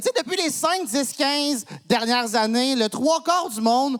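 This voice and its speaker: A man speaks at a fairly slow pace with an extremely high pitch and lively intonation. Noticeable background noise runs under his voice. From Quebec, Montreal. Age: 30s. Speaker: comedian. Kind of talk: stand-up. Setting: stage with audience.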